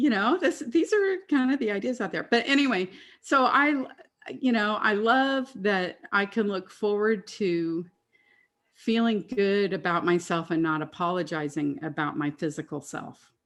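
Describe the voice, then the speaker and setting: A woman speaks at a medium pitch and a fairly slow pace. Her pitch swings very widely. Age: 60s. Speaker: classical singer sharing weight-loss story. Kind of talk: testimony. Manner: talkative.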